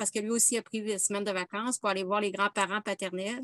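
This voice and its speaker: A woman with a Quebec accent speaks very fast at a fairly high pitch. The sound is dry and close with no echo, over a quiet background. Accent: Québécois. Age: 50s. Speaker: workshop participant. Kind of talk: casual chat. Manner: halting.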